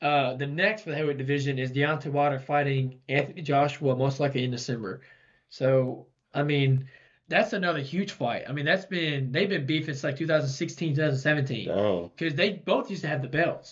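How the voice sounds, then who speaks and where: Somewhat breathy, a man talks at a fairly quick pace with ordinary pitch variation over a quiet background. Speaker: podcast co-host. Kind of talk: casual podcast commentary. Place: studio. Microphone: studio mic.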